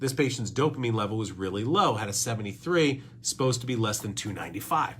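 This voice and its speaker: Very fast and animated, a man talks at a medium pitch with lively intonation. Audible room echo surrounds his voice. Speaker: doctor, podcast host. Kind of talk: educational talk presenting lab results.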